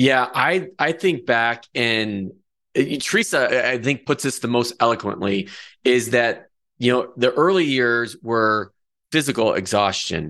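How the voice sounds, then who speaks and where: Bright, sharp voice in a Midwestern accent at a fairly slow pace, with lively intonation and very even loudness against a quiet background. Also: man, medium pitch for a man. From rural Michigan. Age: 40s. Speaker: podcast host and financial planner. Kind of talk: podcast interview. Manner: halting, many repetitions.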